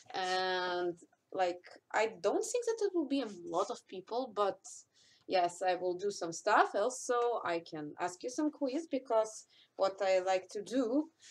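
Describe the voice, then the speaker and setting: At a fairly slow pace, a woman speaks at a medium pitch with a non-native accent. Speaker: cosplayer. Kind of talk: live stream Q&A. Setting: live stream. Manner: halting.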